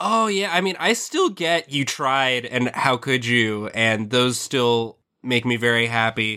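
A man talks at a fairly slow pace with hardly any pauses and very even loudness. His medium pitch moves in an ordinary way, and his tone is bright and sharp. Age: 20s. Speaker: podcast co-host. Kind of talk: casual comedic chat.

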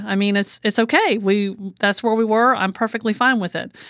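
On a very clean recording with a silent background, a woman with a plain, everyday voice speaks at a fairly high pitch and moderate pace, with fairly even intonation. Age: 50s. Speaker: home care agency owner and author. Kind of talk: interview.

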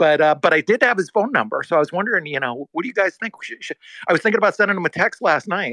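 A man in a raised, projected voice speaks at a very fast pace with a high pitch, a bright, sharp tone, and lively intonation, in a dry, close sound with no echo. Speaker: Bitcoin community organizer. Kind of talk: casual chat.

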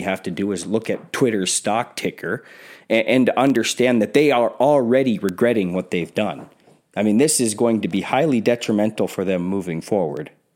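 A man with an ordinary speaking voice talks at a fairly quick pace and medium pitch, with lively intonation, on a very clean recording with a silent background. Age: 40s. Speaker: podcast host. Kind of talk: solo commentary podcast. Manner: casual with frequent fillers and repetitions.

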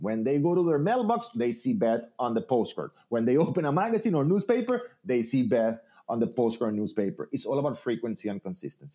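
Speaking at a fairly quick pace, a man uses a medium pitch, lively intonation and a dark, mellow tone. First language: Spanish. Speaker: real estate trainer and speaker. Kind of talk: interview, conversational. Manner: friendly, conversational, some hesitation with fillers.

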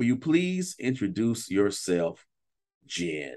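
Slowly and at a fairly low pitch, a man speaks in a slightly mellow tone with big pitch swings, in a very clean recording with a silent background.

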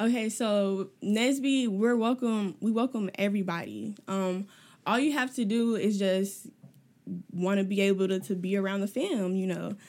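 Moderate pace, ordinary pitch variation, and a very clean recording with a silent background. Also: woman, medium pitch for a woman. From US Midwest, South Side of Chicago. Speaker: student organization president. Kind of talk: casual interview.

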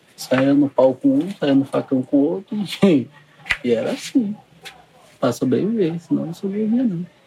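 Over noticeable background noise, a man with a fairly high pitch and very wide pitch swings speaks at a moderate pace, with long, frequent pauses. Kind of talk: interview.

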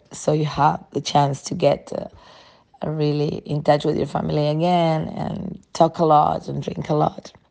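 A woman's very deep, low voice, dark and mellow in tone, at a fairly slow pace with fairly even intonation. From Uruguay, near Montevideo. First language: Spanish. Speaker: sommelier, wine bar owner. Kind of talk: prepared monologue.

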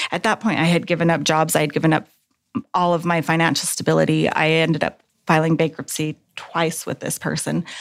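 Her pitch sits fairly low for a woman, with vocal fry throughout. She talks at a fairly quick pace in a monotone, flat intonation. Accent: American. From Texas. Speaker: nurse. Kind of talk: interview testimony.

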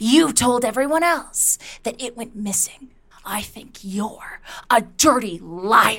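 A put-on character voice, menacing in tone, moves at a fairly slow pace with lively intonation. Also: woman, fairly high pitch for a woman. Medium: audio drama. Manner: menacing, contemptuous, taunting; repetitive, accusing.

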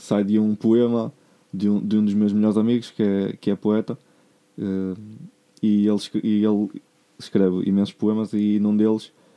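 In a dry, close sound with no echo, a man with a fairly low pitch and a dark, mellow tone speaks at a moderate pace in a flat monotone, with very even loudness and long, frequent pauses. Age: 20s. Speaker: musician and music producer. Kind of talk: casual chat.

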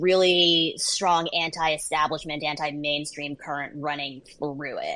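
A woman speaks with an American accent in an ordinary speaking voice. Her pitch is fairly low and her pace fairly slow. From US, child of Vietnamese refugees. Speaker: political journalist and author. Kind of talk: interview.

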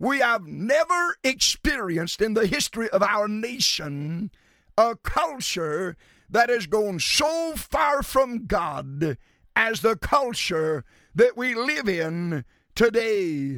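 A man's high, bright and sharp voice, raised and projected, very slow, with very wide pitch swings. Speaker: radio preacher. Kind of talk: radio sermon, preacher in full flow, impassioned. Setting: radio broadcast. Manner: animated; emphatic, rhythmic, pounding alliterative lists.

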